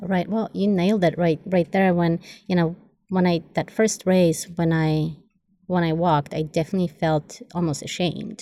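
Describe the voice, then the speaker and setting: A woman with a Polish accent speaks at a moderate pace in a fairly low, dark and mellow voice, her intonation fairly even and her loudness very even. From Poland. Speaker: Olympic distance runner. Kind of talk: casual interview.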